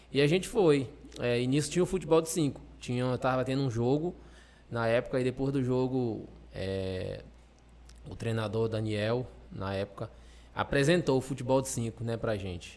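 A man speaks at a moderate pace and medium pitch with ordinary pitch variation. Long pauses come often. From Maranhão, Brazil (Pinheiro). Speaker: Paralympic blind football player. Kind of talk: interview.

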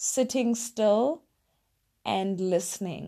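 A woman's fairly high-pitched voice, warm in tone yet dark and mellow, carries through her speech. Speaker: podcast host. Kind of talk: solo monologue, motivational talk. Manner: reflective, conversational, warm.

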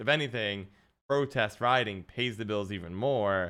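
Lively intonation from a man with an American accent, bright and sharp in tone, at a moderate pace on a very clean recording with a silent background. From United States. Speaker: interviewer. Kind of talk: casual interview.

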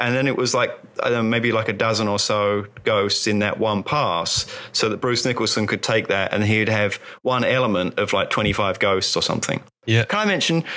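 A man speaks at a medium pitch and a moderate pace, his loudness very even and his intonation fairly even, with noticeable background noise. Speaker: magazine writer on visual effects. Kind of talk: casual chat. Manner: laughs often.

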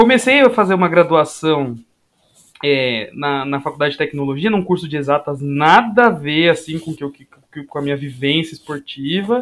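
In a plain, everyday voice, a fairly high-pitched man speaks at a moderate pace with lively intonation and big swings in loudness. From Guarulhos, São Paulo, Brazil. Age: 20s. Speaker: sports science graduate student and former athlete. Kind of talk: casual chat.

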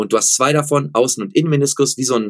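A man speaks in a plain, everyday voice at a fairly high pitch, with ordinary pitch variation. The sound is dry and close with no echo, on a very clean recording with a silent background. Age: 40s. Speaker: running shoe expert and company founder. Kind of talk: interview.

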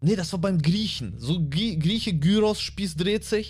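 There is audible room echo as a man speaks at a fairly slow pace. His pitch is high and his intonation lively. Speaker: comedian and podcast co-host. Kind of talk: casual chat. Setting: studio.

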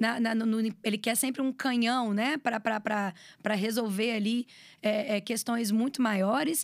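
On a very clean recording with a silent background, a woman with an unremarkable speaking voice talks at a fairly high pitch with ordinary pitch variation. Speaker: videomaker and communications professional. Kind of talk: casual interview chat.

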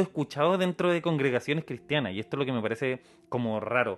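A man speaks with a Chilean accent and lively intonation. The background is quiet. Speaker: podcast host. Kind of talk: casual chat.

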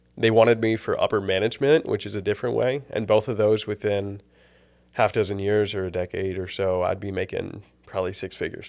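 This unremarkable speaking voice moves at a fairly quick pace with fairly even intonation. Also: man, fairly low pitch for a man. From US South, Tennessee. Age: 20s. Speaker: seminary student. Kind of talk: casual chat interview.

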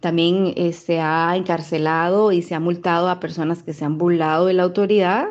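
A woman speaks at a fairly slow pace in a fairly low pitch with a dark, mellow tone. The background is quiet. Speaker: Costa Rican living abroad. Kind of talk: testimony.

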